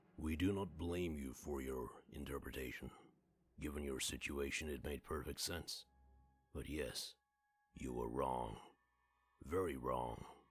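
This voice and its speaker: Putting on a character voice with a very deep, low pitch, a man speaks at a moderate pace with long, frequent pauses. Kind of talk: otherworldly, measured and formal. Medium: game stream. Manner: detached, cryptic, speaks as "we".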